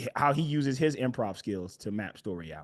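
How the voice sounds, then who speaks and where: A man with an unremarkable speaking voice at medium pitch, lively intonation, and a fairly slow pace. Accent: American. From US West Coast, Los Angeles. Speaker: comedy writer and actor. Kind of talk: casual interview chat.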